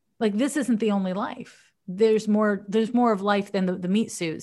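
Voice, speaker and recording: In an unremarkable speaking voice, a woman speaks at a fairly high pitch with ordinary pitch variation over a quiet background. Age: 40s. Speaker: psychic astrologer. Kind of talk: casual advice chat. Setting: remote call from her office.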